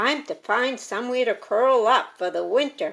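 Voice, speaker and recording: A woman's put-on character voice, croaky and high-pitched, at a moderate pace. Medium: read story.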